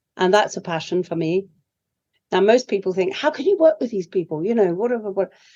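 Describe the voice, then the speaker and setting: A British-accented woman at a medium pitch, with lively intonation and a fairly quick pace. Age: 70s. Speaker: leadership coach. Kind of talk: interview.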